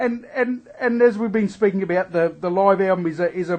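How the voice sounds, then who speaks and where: Ordinary pitch variation in an Adelaide Australian accent. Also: man. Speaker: radio interviewer. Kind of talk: interview. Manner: halting.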